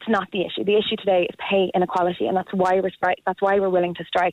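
A woman speaks with an Irish accent. Her pitch is medium and her pace fairly quick. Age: 30s. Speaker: primary school teacher. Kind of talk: radio phone-in.

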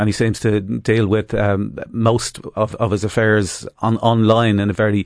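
Recorded with a dry, close sound and no echo, a man with an Irish accent speaks at a medium pitch. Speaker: activist group chairman. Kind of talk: panel discussion.

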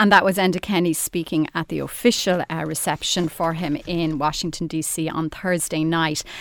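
A woman in an Irish accent talks with hardly any pauses. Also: fairly even intonation, moderate pace. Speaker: radio presenter. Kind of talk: panel discussion, newspaper review.

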